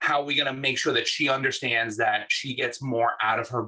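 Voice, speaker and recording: A man's medium-pitched voice with a bright, sharp tone in a New York accent, at a fairly quick pace. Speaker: UX design manager. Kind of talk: talk and group discussion. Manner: animated.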